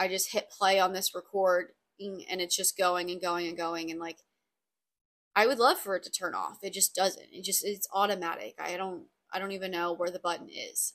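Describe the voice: A woman with a fairly low, raspy voice and a fairly bright tone talks at a moderate pace with fairly even intonation.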